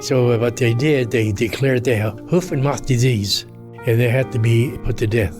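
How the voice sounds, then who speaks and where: Music plays in the background. A man with an American accent speaks at a fairly slow pace. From Los Angeles. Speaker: war veteran. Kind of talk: interview answer.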